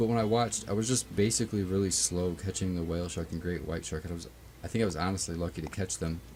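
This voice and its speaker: A man's very deep, low voice at a very fast pace, with lively intonation over background music. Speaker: gaming streamer. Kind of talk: live gameplay stream. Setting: live stream.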